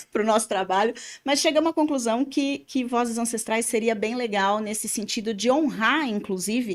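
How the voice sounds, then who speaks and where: Moderate-paced speech from a woman, fairly high in pitch, with ordinary pitch variation. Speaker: podcast host and therapist. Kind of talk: casual podcast chat. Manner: talkative.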